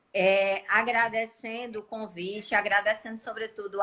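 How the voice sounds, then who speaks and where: Noticeable background noise fills the recording. Through it, a woman is talking. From Cariri region, Ceará, Brazil. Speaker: law professor and lawyer. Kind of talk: casual live stream chat.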